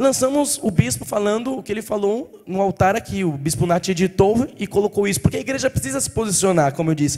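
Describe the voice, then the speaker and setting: Talking at a very fast pace, a man with a high pitch makes very wide pitch swings. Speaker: pastor. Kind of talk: sermon. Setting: church.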